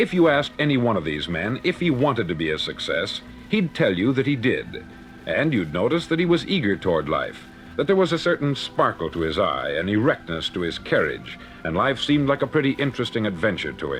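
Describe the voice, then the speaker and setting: A fairly quick delivery with noticeable background noise behind it. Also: man. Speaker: motivational speaker. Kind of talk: motivational spoken word record.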